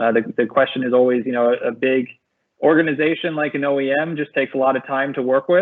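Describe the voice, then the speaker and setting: A man talks at a fairly quick pace in an American accent, at a medium pitch. His intonation is fairly even, an ordinary speaking voice. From United States. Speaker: tech startup co-founder. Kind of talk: webinar panel discussion.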